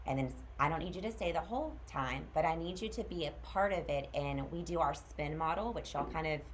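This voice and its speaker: A woman talks at a very fast pace with hardly any pauses. The room echo is audible. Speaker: school transition specialist. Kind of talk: informational presentation to parents.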